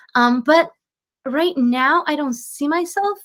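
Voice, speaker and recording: Lively intonation in a Slovenian accent. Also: woman. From Slovenia, moved to California at 14. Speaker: singer-songwriter. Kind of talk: podcast interview. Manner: hesitant, many fillers and restarts.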